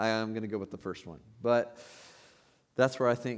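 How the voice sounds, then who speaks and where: On a very clean recording with a silent background, a man at medium pitch speaks in an ordinary speaking voice. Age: 30s. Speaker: pastor. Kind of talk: sermon. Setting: church.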